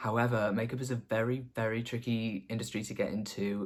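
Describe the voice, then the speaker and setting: A man with a slight Scouse accent. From northwest England, the Wirral near Liverpool. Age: 20s. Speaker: makeup artist. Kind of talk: casual get-to-know-me vlog.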